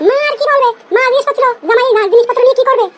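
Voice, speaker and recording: Squeaky and extremely high-pitched, a woman's cartoonish character voice races at a very fast pace with fairly even intonation and very even loudness. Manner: complaining, defiant.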